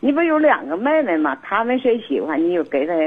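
Very wide pitch swings in a woman's fairly high-pitched voice. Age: 60s. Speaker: caller. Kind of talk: phone-in advice call.

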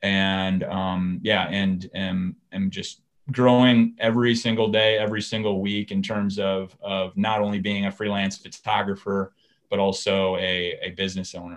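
A man speaks with an American accent at a moderate pace. His fairly low voice stays monotone, with flat intonation. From Minnesota, US. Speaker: outdoor photographer and filmmaker. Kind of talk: interview. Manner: halting, many fillers and repeats.

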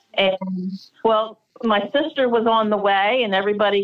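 An ordinary speaking voice with an American accent. The pace is fairly slow. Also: woman. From Delaware, US. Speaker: craftswoman and photographer. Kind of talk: interview. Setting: remote call.

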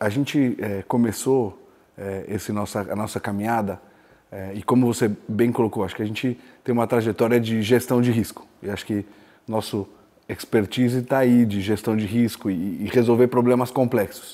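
This man's voice has a medium pitch and a dark, mellow tone. He keeps a moderate pace with fairly even intonation. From Araraquara, São Paulo state, Brazil. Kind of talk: interview.

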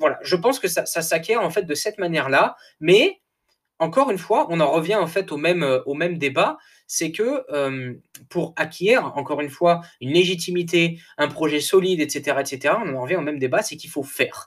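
A man with a high pitch speaks in an energetic tone at a moderate pace with ordinary pitch variation. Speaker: coach and podcaster. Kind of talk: solo monologue podcast. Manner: hesitant, many fillers and repetitions.

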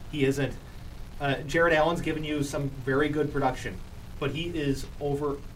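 A fairly high-pitched man talking at a fairly quick pace over noticeable background noise. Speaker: sports talk show co-host. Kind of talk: casual sports debate. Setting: studio. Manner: animated.

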